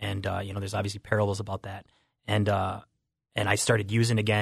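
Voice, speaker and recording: On a very clean recording with a silent background, a man talks very fast in a somewhat breathy voice of fairly low pitch. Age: 30s. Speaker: recovering addict. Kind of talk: testimony. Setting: studio.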